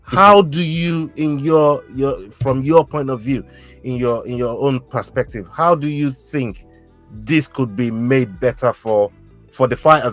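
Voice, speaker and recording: Over music in the background, the speaker sounds enthusiastic, with ordinary pitch variation and a moderate pace. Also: man. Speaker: podcast host. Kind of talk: interview host questions. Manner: casual, enthusiastic.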